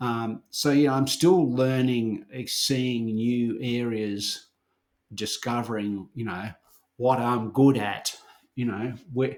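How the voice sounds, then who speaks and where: A man with an Australian accent, medium in pitch, at a very slow pace with fairly even intonation. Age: 60s. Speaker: herbalist and herbal educator. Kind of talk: casual chat.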